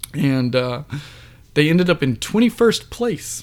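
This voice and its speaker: An American accent colors this man's ordinary speaking voice, which is fairly high in pitch and fairly slow in pace. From US South. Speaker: podcast co-host. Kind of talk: casual chat.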